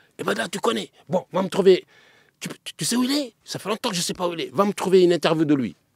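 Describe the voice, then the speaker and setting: A man with a high pitch talks at a fairly quick pace, his intonation lively and his loudness swinging widely, in a dry, close sound with no echo. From Paris. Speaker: griot and storyteller. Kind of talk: podcast interview. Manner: halting.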